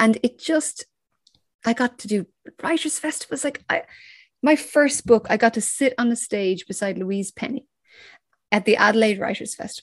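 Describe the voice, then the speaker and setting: A woman with an Irish accent and a fairly high, somewhat breathy voice, lively intonation and long, frequent pauses, in a dry, close sound with no echo. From Ireland. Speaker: crime novelist. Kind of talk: interview.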